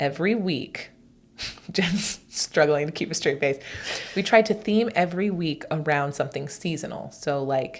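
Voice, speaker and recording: Her pitch fairly low, a woman talks in an animated tone with ordinary pitch variation. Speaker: homeschool co-op organizer and podcast co-host. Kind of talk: casual chat. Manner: loud.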